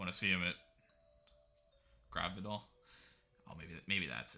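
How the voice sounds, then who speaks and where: With an American accent, a man speaks in a bright, sharp tone with vocal fry, on a very clean recording with a silent background. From United States. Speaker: video game streamer. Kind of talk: live gameplay commentary. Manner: casual, halting.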